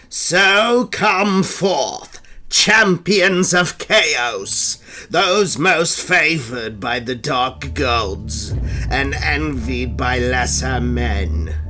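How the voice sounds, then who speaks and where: Over clear background noise, a man puts on a raspy character voice at a medium pitch, speaking at a very slow pace. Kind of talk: dramatic lore monologue.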